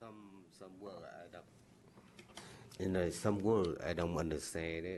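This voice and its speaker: With a very deep, low pitch, a man speaks in a flat monotone at a fairly slow pace, leaving long, frequent pauses, and the room echo is audible. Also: big swings in loudness. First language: non-English, speaks Vietnamese. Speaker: licensee at hearing. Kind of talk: hearing testimony. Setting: board meeting. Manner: halting.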